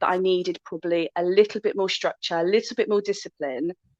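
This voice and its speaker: A woman with a Bristol accent is recorded with a dry, close sound that has no echo. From Bristol, West Country of England. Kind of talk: podcast interview.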